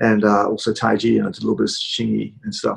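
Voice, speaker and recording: This man speaks with a New Zealand accent. His pace is fairly quick. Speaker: cooking channel host. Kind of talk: casual interview. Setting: video call. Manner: halting, many fillers.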